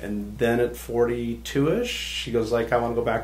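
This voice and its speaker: Over noticeable background noise and audible room echo, a man with an American accent talks at a fairly quick pace. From Southern California. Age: 60s. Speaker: hypnotist. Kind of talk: podcast interview.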